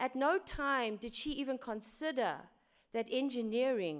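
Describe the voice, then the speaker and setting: A woman speaks at a moderate speed. She uses lively intonation. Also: very clean recording, silent background. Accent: South African. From South Africa. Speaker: engineering director. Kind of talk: conference talk.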